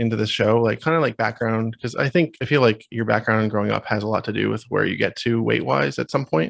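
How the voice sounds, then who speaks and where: Very fast and with lively intonation, a man speaks at a medium pitch. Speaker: podcast host. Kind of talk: podcast interview question.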